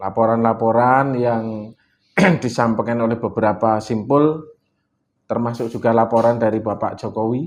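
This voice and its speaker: A man with a Javanese accent, medium pitch and a fairly slow pace. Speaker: political activist. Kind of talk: interview.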